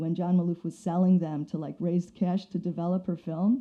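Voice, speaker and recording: A woman speaks at a fairly quick pace with fairly even intonation. Her voice is fairly low-pitched, with a dark, mellow tone. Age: 60s. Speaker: photography professor and author. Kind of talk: casual interview chat.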